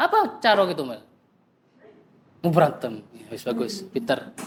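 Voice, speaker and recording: The pace of this man's speech is moderate. His pitch moves in very wide swings. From East Java (Probolinggo, Pandalungan area). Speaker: speaker at discussion forum, psychology graduate. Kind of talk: casual discussion with audience.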